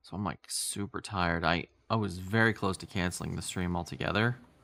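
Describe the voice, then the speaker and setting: A quiet man with a fairly low pitch and a bright, sharp tone speaks at a fairly quick pace with ordinary pitch variation, in a very clean recording with a silent background. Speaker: vtuber streamer. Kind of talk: casual live stream chat.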